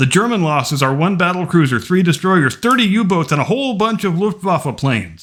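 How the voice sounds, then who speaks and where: This man's voice sits high in pitch. He talks at a moderate pace. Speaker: history commentator. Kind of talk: history narration.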